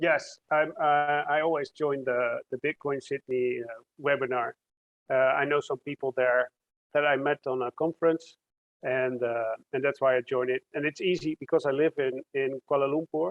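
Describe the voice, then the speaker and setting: This man's pitch sits fairly high. He talks at a moderate pace with fairly even intonation. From Netherlands. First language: Dutch. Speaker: computer science researcher. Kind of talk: interview.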